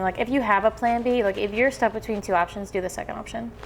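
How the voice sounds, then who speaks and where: Music plays in the background. A woman with an American accent speaks at a medium pitch with ordinary pitch variation. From Alabama. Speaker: singer-songwriter. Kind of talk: interview answer. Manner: upbeat, chatty.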